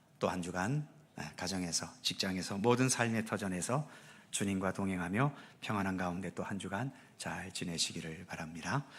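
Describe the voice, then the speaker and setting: On a very clean recording with a silent background, a man talks at a moderate pace with a very deep, low pitch. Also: ordinary pitch variation. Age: 60s. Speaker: pastor. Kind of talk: church announcements. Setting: church service. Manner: formal.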